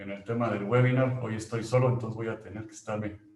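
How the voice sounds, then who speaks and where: Against audible room echo, a man speaks in a somewhat breathy voice with fairly even intonation. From Mexico. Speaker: company employee presenting a webinar. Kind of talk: webinar presentation. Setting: online webinar.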